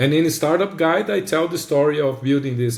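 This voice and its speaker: A man with a Brazilian accent, fairly high in pitch and somewhat breathy, at a fairly quick pace with ordinary pitch variation. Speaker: podcast host. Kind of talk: casual chat.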